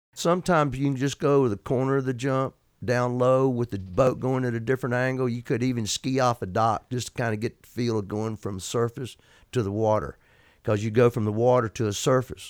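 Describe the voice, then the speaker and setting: In an Alabama accent, a man talks at a medium pitch with ordinary pitch variation, on a very clean, dry, close recording with a silent background and no echo. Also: fairly quick pace. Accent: Southern US (Alabama). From Alabama, US South. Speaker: retired pro water skier, hall of fame inductee. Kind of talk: casual interview.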